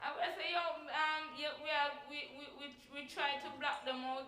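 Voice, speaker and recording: A woman speaks in a raised, projected voice with a high pitch, flat monotone intonation and a moderate pace. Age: 20s. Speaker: church sermon speaker. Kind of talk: church sermon.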